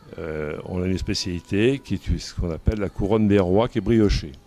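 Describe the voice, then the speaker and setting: A man with a very deep, low voice talks fairly slowly. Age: 60s. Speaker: pastry chef and business owner. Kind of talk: interview. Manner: hesitant, frequent fillers and repeats.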